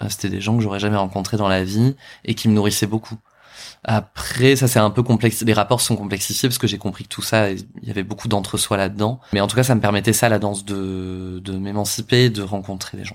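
Monotone, flat intonation at a fairly quick pace on a very clean recording with a silent background. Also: man, fairly low pitch for a man. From France, Bordeaux suburbs. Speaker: drag queen and performer. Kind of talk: interview. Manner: halting, many hesitations.

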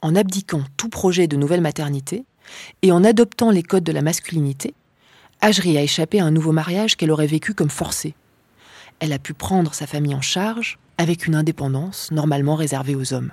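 A woman with a very deep, low pitch talks at a fairly quick pace in a very clean recording with a silent background and a dry, close sound with no echo. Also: ordinary pitch variation. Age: 30s. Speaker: documentary reporter and filmmaker. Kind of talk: scripted narration.

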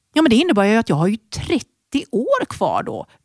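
A woman's voice moves through very wide pitch swings. The sound is dry and close, with no echo. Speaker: fitness and health entrepreneur. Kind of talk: interview.

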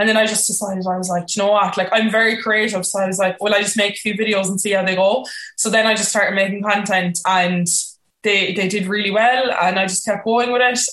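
In a Cork accent, a woman speaks very fast at a medium pitch, with monotone, flat intonation. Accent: Cork Irish. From Cork, Ireland. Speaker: content creator. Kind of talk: casual interview chat.

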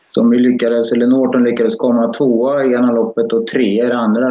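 The voice belongs to a man with a medium pitch. He speaks fairly quickly. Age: 60s. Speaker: karting parent. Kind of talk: live-streamed interview.

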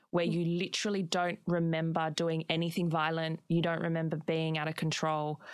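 In an Australian accent, a woman talks at a fairly quick pace with monotone, flat intonation. Her voice is fairly low, on a very clean recording with a silent background. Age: 20s. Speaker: podcast host. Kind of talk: interview.

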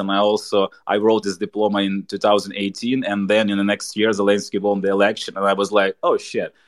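With a Ukrainian accent, a man speaks at a moderate pace and a fairly low pitch. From Ukraine. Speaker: stand-up comedian. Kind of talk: interview. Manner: halting.

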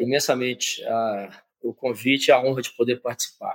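The man's pitch is medium and his intonation monotone and flat. He talks at a fairly quick pace. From Minas Gerais, Brazil (Conceição do Mato Dentro). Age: 60s. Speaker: business executive. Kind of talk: interview.

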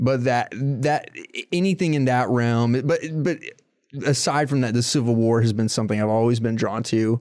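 With an American accent, a man has an unremarkable speaking voice at medium pitch with ordinary pitch variation. He talks at a moderate pace with very even loudness. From Florida, Tampa area. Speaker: documentary journalist. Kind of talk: interview about history.

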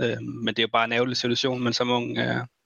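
The man talks with monotone, flat intonation. His pitch sits in the medium range. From Denmark, Esbjerg. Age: 20s. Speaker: professional esports player. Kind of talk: casual chat.

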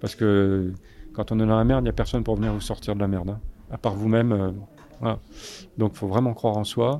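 The speaker has a dark, mellow tone and fairly even intonation, talking at a very fast pace with long, frequent pauses. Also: man, fairly low pitch for a man. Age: 60s. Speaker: photojournalist. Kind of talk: interview. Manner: halting.

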